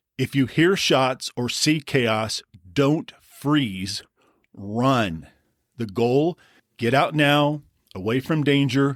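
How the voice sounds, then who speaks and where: A man speaks at a very slow pace in a serious tone, with medium pitch and ordinary pitch variation. The recording is very clean with a silent background and a dry, close sound with no echo. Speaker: podcast host. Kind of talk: safety explainer podcast.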